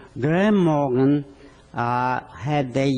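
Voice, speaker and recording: A man with a strong non-native accent speaks very slowly with lively intonation and a fairly high pitch, over noticeable background noise. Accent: thick foreign. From Poland. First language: not English. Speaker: physician. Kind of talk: speech. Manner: halting.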